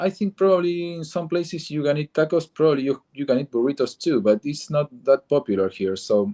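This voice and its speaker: Speaking with an Argentine accent, a man uses a fairly high pitch and lively intonation. He goes at a fairly quick pace with hardly any pauses. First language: Spanish. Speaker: comic book artist. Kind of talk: interview. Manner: halting.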